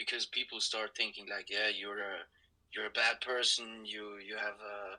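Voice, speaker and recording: This is a man with a Swiss German accent. He speaks at a fairly slow pace. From Switzerland, Zurich. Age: 20s. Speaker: university student. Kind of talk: casual conversation. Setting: audio-only podcast recording. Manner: halting, frequent repetitions.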